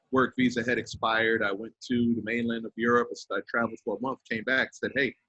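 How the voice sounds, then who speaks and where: A man's voice, dry and close with no echo. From US East Coast, Westchester County New York. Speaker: DJ, music producer and record label owner. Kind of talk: casual interview. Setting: podcast.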